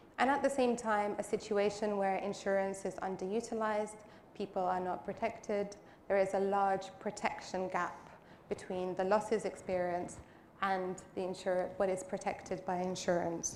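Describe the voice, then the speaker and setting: Her medium-pitched voice stays fairly even in intonation as the woman speaks with audible room echo around her. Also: moderate pace. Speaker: panel moderator. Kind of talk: conference panel moderation.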